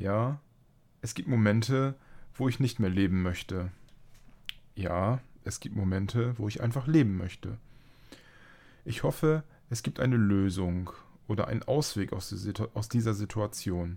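Fairly slow speech in a dark, mellow tone, with long, frequent pauses and ordinary pitch variation. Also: man, fairly low pitch for a man. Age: 30s. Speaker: podcast host living with multiple sclerosis. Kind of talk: reading aloud; casual chat.

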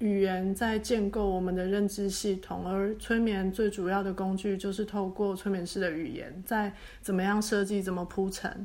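Here is an ordinary speaking voice. Its speed is moderate. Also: woman, medium pitch for a woman, fairly even intonation, hardly any pauses. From Taiwan. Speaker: hypnotherapist. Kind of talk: interview.

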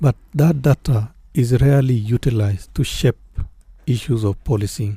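This man speaks at a moderate pace in a medium pitch, with a dark, mellow tone and a somewhat breathy quality. His loudness stays very even, and his pitch varies in an ordinary way. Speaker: police oversight official. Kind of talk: radio interview.

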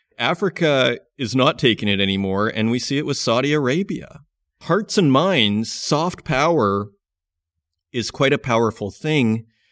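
A man with a plain, everyday voice speaks at a medium pitch with lively intonation. The recording is very clean, with a silent background. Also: fairly slow pace. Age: 40s. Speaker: mining podcast host. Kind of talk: podcast interview and news commentary.

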